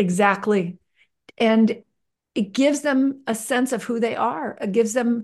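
A high-pitched woman's voice, very slow in pace and lively in intonation, over a quiet background. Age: 60s. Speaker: nonprofit founder and filmmaker. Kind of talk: interview.

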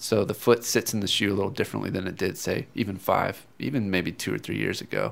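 On a very clean recording with a silent background, a man speaks in a relaxed tone at a fairly quick pace, with vocal fry and ordinary pitch variation. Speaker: running store expert. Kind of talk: casual interview. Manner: relaxed, conversational.

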